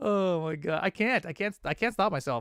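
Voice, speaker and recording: The recording of this man is very clean, with a silent background. The sound is dry and close, with no echo. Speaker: fighting game streamer and commentator. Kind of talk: casual live stream chat. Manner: fast.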